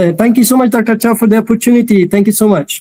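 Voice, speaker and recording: A man is talking. His pitch varies only a little. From Afghanistan, Pashto-speaking region. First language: Pashto (speaking Persian). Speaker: PhD student and scholarship speaker. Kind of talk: webinar presentation. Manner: halting, many fillers.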